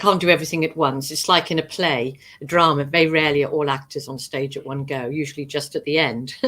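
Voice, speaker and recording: A woman speaks at a very fast pace. Her pitch is very deep and low. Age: 70s. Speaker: professional astrologer. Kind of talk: interview.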